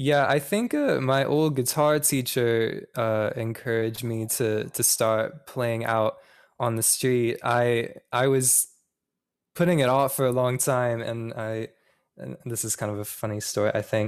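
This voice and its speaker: A man speaks in a normal speaking voice at a medium pitch. His pace is fairly slow and his intonation fairly even. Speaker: singer-songwriter. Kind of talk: casual interview. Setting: remote call.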